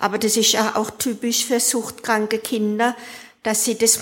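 This woman's pitch is fairly high, her intonation monotone and flat. She keeps a moderate pace. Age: 60s. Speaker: recovering alcoholic. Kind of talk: testimony.

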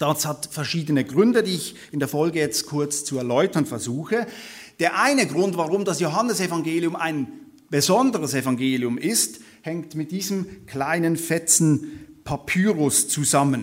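With lively intonation, a man of fairly high pitch keeps a moderate pace. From Switzerland. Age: 30s. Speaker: theology lecturer and guest preacher. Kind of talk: sermon-style Bible study lecture.

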